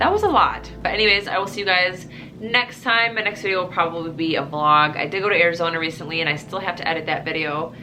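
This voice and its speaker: Spoken at a very fast pace in a Midwestern accent with ordinary pitch variation, the voice carries audible room echo over music in the background. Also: woman, fairly low pitch for a woman. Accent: Midwestern, noticeable on the word bag. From US Midwest. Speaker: operating room nurse and vlogger. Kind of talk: casual vlog chat.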